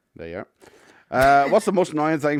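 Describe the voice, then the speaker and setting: A man with a Northern Irish accent is heard on a very clean recording with a silent background. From Northern Ireland. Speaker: podcast co-host. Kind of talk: casual chat. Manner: animated.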